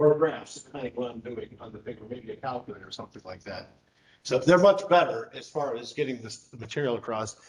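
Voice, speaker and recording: A man's very fast, somewhat breathy voice at a medium pitch, with lively intonation and big swings in loudness. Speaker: math teacher. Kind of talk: lecture.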